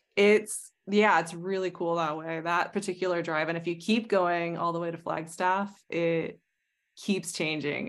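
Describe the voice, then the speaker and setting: A woman with a normal speaking voice and an American accent talks at a fairly slow pace and fairly low pitch, with ordinary pitch variation, against a quiet background. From Arizona, US. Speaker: astrologer and tarot reader. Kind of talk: casual interview conversation.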